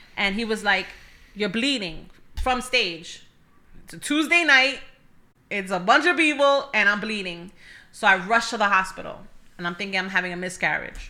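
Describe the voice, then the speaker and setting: A woman at medium pitch with a New York accent, bright and sharp in tone, lively intonation, big swings in loudness, long, frequent pauses and a moderate pace. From New York City (Bronx). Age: 30s. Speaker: church welcome ministry leader. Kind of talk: testimony.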